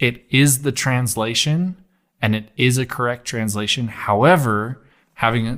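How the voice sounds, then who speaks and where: On a very clean recording with a silent background, a man with an ordinary speaking voice talks at a fairly slow pace, medium pitch and ordinary pitch variation. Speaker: podcast host. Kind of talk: casual chat.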